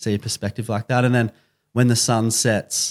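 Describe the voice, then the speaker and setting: A man with an Australian accent talks at a medium pitch with fairly even intonation. The recording is very clean, with a silent background. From Byron Bay, Australia. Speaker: podcast team member. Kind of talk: casual interview.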